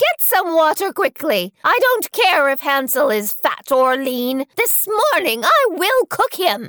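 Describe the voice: In a put-on character voice, a woman speaks high-pitched and fairly bright in tone, with big pitch swings and a fairly slow pace, in a dry, close sound with no echo.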